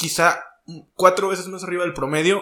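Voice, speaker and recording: This is a man speaking. His pitch is high. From northern Mexico. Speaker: podcast host. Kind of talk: casual chat.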